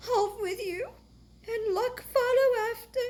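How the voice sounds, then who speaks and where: Putting on a character voice, a woman speaks at extremely high pitch, at a fairly slow pace and with fairly even intonation. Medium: read story.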